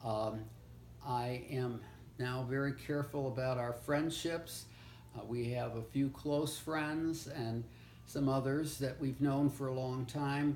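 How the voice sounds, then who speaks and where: A man's medium-pitched voice at a very slow pace, with fairly even intonation and audible room echo. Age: 80s+. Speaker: retired lecturer, grandfather. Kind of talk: oral history interview. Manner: halting with fillers and stammers.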